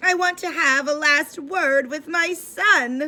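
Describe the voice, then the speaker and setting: A woman speaks in a high-pitched, put-on character voice, raised and projected, at a fairly slow pace. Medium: read story. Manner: dramatic, overwrought.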